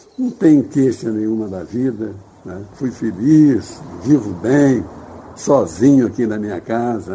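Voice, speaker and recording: A man's very slow, medium-pitched speech with lively intonation, against noticeable background noise. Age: 80s+. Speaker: retired bar owner. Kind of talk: radio interview.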